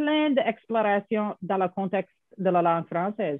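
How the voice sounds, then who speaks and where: The speech moves at a fairly slow pace. It carries an English accent. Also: woman. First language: English (speaking French). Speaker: professor. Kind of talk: interview. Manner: halting.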